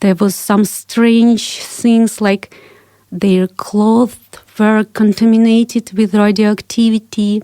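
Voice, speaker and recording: A woman with a Russian accent speaks very slowly in a fairly high, flat monotone, the sound dry and close with no echo. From Kazakhstan, Ukraine and Russia. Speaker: investigative journalist and author. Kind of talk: interview.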